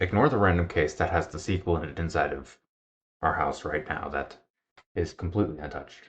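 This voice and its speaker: A man's very deep, low voice, somewhat breathy, at a fairly quick pace over a quiet background. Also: ordinary pitch variation. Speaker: gaming video creator. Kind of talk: gameplay commentary. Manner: quiet, lowered volume; playful, joking.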